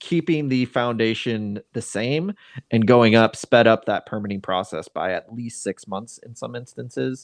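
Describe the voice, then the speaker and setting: An unremarkable speaking voice: a man with an American accent, medium pitch and ordinary pitch variation, at a moderate pace, with a dry, close sound, no echo and a quiet background. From Seattle. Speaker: podcast host and real estate agent. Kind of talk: casual chat.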